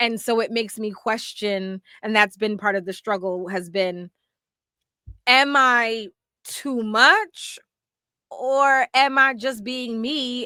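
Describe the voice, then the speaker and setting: A woman with a fairly high pitch speaks in a bright, sharp tone, the sound dry and close with no echo. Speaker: podcast co-host. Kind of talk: casual chat. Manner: loud.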